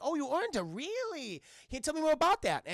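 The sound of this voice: This put-on character voice is high-pitched, with a strong Boston accent. It moves along at a fairly quick pace. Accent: thick Boston.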